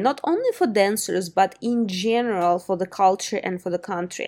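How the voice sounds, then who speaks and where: Her delivery is a normal speaking voice, and the woman uses ordinary pitch variation. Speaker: podcast host. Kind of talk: interview.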